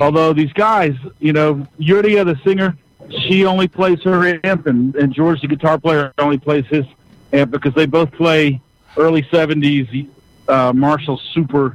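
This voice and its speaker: In a plain, everyday voice, the speaker goes at a fairly slow pace with ordinary pitch variation and very even loudness. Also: man, fairly high pitch for a man. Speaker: touring musician. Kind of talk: casual chat. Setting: phone call from a van.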